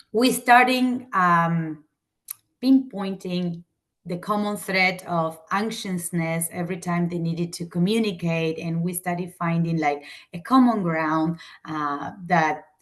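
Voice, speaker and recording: A woman with an Argentine accent speaks at a very slow pace. Her pitch is fairly low, with ordinary variation. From Argentina. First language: Spanish. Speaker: teacher. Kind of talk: lecture. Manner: halting.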